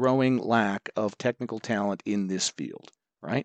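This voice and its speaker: A man speaks in a normal speaking voice at medium pitch with ordinary pitch variation. The sound is dry and close with no echo, and the background is quiet. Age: 60s. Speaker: university professor. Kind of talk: interview. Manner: measured, with frequent fillers.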